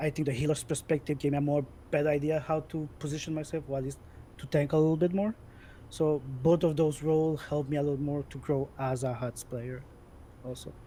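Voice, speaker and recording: A dark, mellow tone carries through speech at a fairly quick pace. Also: man. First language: French. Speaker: gamer, esports player. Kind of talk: interview chat. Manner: loud.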